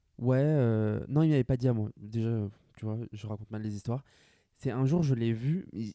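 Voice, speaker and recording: A man's dark, mellow voice at a fairly quick pace with ordinary pitch variation, dry and close with no echo, on a very clean recording with a silent background. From France, Grand Est (rural village). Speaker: podcaster. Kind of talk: casual solo monologue. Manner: fast.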